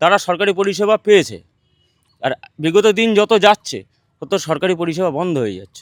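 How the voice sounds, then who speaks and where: High-pitched and with ordinary pitch variation, a man's voice shows big swings in loudness in a dry, close recording with no echo. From West Bengal, North 24 Parganas (Duttapukur). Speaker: local resident. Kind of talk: on-location interview.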